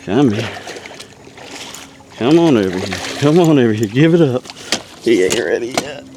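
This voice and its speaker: Noticeable background noise accompanies a man with a Southern US accent who talks at a moderate pace with lively intonation and long, frequent pauses. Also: medium pitch for a man. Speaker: fishing video host. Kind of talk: live fishing commentary. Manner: animated; quiet.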